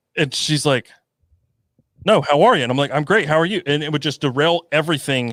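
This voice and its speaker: Animated and fairly quick, the speaker has an American accent and ordinary pitch variation, recorded with a dry, close sound and no echo. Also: man. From North Carolina, small farm town. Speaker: YouTuber, podcast co-host. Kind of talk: casual chat.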